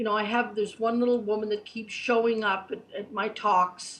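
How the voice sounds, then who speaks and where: Using an unremarkable speaking voice, a woman talks at a fairly high pitch with fairly even intonation. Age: 60s. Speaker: spiritual reader and guide. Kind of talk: interview. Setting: online chat show.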